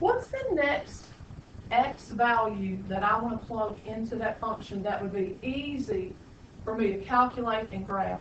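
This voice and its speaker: Speaking in a Southern US accent, a woman with a fairly high pitch and ordinary pitch variation talks at a fairly slow pace amid noticeable background noise and audible room echo. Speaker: high school math teacher. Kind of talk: classroom lecture. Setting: classroom.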